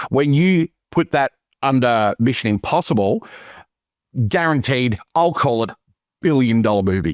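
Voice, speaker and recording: A man with an Australian accent speaks with very wide pitch swings in a dry, close sound with no echo on a very clean recording with a silent background. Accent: Australian, noticed by others. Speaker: movie podcast co-host. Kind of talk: casual chat.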